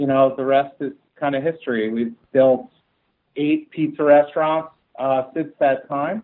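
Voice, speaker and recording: Fairly high in pitch, a man speaks in an American accent at a moderate pace. The intonation stays fairly even. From New Jersey, US (Central Jersey). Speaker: restaurant company CEO. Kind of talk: podcast interview. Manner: halting, many fillers and repeats.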